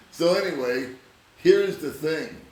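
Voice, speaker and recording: Against noticeable background noise and audible room echo, a man with an American accent speaks at a fairly slow pace. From Southern California. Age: 60s. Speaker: vlogger. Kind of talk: casual chat.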